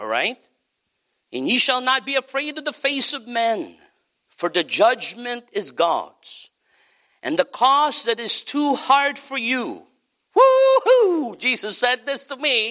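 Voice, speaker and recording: In a very clean recording with a silent background, a man projects a raised voice, bright and sharp in tone, at an extremely high pitch, speaking very slowly with ordinary pitch variation. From Philippines. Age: 30s. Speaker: pastor. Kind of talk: sermon.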